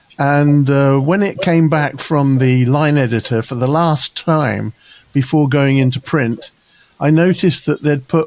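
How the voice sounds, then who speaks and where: Noticeable background noise sits behind a man speaking fairly slowly at a fairly high pitch with ordinary pitch variation. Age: 70s. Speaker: executive coach and author. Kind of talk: interview. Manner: halting.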